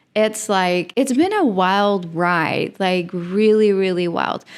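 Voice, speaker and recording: On a very clean recording with a silent background, a woman speaks at medium pitch with a Dutch accent and ordinary pitch variation. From Netherlands. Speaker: podcast host. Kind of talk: casual podcast monologue. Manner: animated, filler-heavy.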